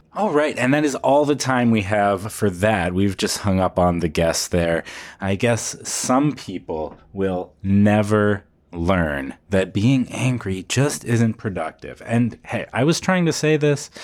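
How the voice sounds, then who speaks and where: At a very slow pace, a man speaks with lively intonation in a fairly low voice. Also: very clean recording, silent background. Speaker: podcast co-host. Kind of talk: comedy podcast banter with sketch bits.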